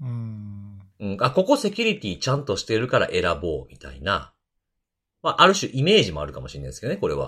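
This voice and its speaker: In a very clean recording with a silent background, a man speaks very fast with big swings in loudness. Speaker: security podcast host. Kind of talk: casual chat.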